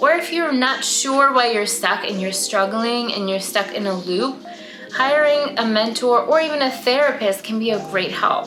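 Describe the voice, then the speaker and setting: Music plays in the background and room echo is audible as a woman with a high pitch and a slight non-native accent speaks at a moderate pace with lively intonation. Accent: slight foreign accent, hardly noticeable. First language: not English. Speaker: artist and art magazine founder. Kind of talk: casual vlog monologue.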